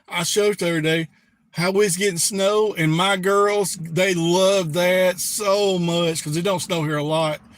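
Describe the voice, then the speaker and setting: With a Southern Alabama accent, a man talks at a high pitch and fairly slow pace with fairly even intonation. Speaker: prepper YouTuber. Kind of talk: live stream chat. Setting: live stream.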